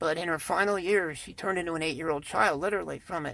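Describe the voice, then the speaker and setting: In a very clean recording with a silent background, a woman with a fairly low pitch speaks in a bright, sharp tone with vocal fry and ordinary pitch variation. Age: 60s. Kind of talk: casual talk to camera.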